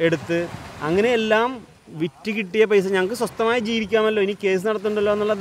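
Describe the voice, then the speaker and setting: The man's voice sits high in pitch. The sound is dry with no echo, with light background noise. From Kerala coast. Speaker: fisherman, land dispute victim. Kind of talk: interview. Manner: formal. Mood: earnest, aggrieved. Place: beach. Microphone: handheld.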